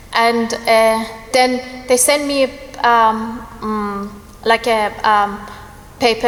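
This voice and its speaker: Her pitch fairly high and her intonation flat and monotone, a woman speaks over noticeable background noise. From Iran. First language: Persian. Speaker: church member giving testimony. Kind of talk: testimony. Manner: halting, hesitant.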